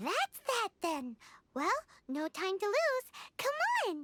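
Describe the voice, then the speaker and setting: A squeaky put-on character voice at an extremely high pitch, with very wide pitch swings and a fairly slow pace. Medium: video game. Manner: lively, brisk.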